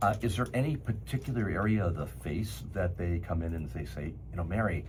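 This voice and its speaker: Amid audible room echo, a man speaks in a very deep, low voice with very wide pitch swings. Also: fairly quick pace. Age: 70s. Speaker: cosmetic surgeon and show host. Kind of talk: interview conversation.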